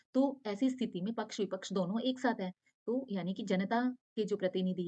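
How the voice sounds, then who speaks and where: At a moderate pace, a woman speaks in a medium pitch with ordinary pitch variation, her somewhat breathy voice carrying a dark, mellow tone. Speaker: online exam-prep teacher. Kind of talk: lecture.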